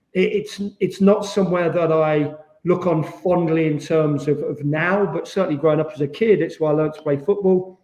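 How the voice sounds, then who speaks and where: Speaking with an East Midlands accent, a man uses a high pitch and fairly even intonation, with hardly any pauses. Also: moderate pace. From England, Rushden, Northamptonshire. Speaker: former professional footballer. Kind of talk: podcast interview.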